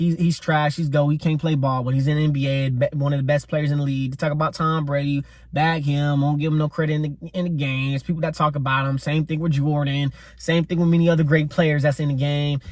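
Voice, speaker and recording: A man speaks with hardly any pauses at a fairly high pitch. His somewhat breathy voice holds a monotone, flat intonation. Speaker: podcast host. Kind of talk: solo podcast monologue. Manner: fast; stumbles over words, slight stutter.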